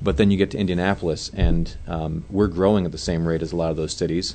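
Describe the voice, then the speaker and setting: A man with a very deep, low pitch and an American accent, fairly quick and fairly even in intonation, over noticeable background noise. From Michigan. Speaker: pastor and church planter. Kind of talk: casual chat.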